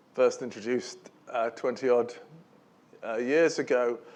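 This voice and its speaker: Mumbling, a man talks at a fairly slow pace. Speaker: professor. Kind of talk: lecture. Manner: halting.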